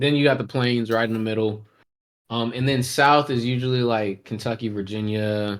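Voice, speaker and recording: The man's pitch is medium and his intonation fairly even. He keeps a moderate pace. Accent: American. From Texas. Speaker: podcast co-host. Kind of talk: casual chat.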